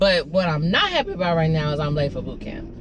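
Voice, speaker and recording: A woman's animated tone at a very fast pace, against noticeable background noise. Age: 30s. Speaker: vlogger. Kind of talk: casual vlog monologue. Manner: animated, chatty.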